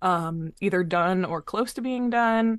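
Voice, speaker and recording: A woman with an American accent talks at a fairly slow pace with ordinary pitch variation, a normal speaking voice. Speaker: singer and artist. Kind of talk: casual chat.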